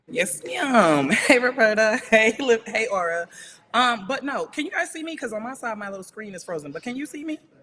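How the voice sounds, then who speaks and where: A woman with a fairly high pitch and an American accent talks at a fairly quick pace, her voice showing very wide pitch swings and big swings in loudness over noticeable background noise. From US, Providence, Rhode Island and Birmingham, Alabama. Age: 30s. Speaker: war veteran and hairstylist. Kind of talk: casual interview chat. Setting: video call. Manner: laid back.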